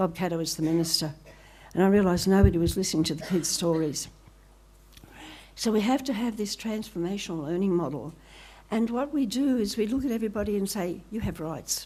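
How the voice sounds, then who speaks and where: A woman speaks at medium pitch in a dark, mellow tone with lively intonation and a fairly quick pace. Long, frequent pauses break her speech, and room echo is audible. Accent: Australian. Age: 80s+. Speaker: professor. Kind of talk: conference talk. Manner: animated.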